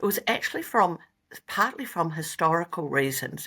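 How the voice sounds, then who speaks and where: Speaking with a New Zealand accent, a woman of fairly low pitch has a bright, sharp tone and lively intonation at a moderate pace, on a very clean recording with a silent background. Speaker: company founder and veterinarian. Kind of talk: interview.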